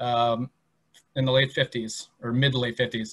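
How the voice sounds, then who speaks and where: The background is quiet. A man does the talking. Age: 30s. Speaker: museum educator. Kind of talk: presentation. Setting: online video presentation. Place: home room. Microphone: webcam.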